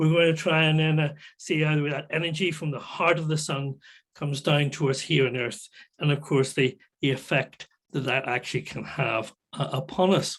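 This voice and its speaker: A man with a Northern Irish accent, a fairly high pitch, a moderate pace and fairly even intonation. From Northern Ireland, near Belfast. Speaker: solar physicist, guest lecturer. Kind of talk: public science talk. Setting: video call. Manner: halting, many fillers.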